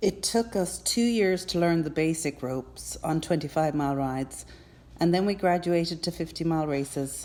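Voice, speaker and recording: A woman with an Irish accent has a fairly low voice and a dark, mellow tone. She keeps a moderate pace with ordinary pitch variation. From Ireland, Cork. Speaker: endurance rider. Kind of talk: personal testimony.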